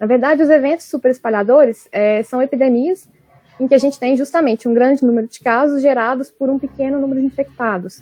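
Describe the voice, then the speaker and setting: The speech comes at a very fast pace. Its loudness swings widely. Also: woman, high pitch for a woman. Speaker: graduate researcher presenting her work. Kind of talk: academic webinar talk. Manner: animated.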